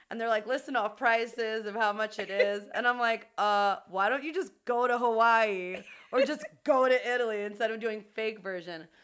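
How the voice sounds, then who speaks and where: The woman has a normal speaking voice with a fairly high pitch and ordinary pitch variation. She talks at a moderate pace on a very clean recording with a silent background. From New York City, Queens (Jackson Heights). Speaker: podcast co-host. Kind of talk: casual chat.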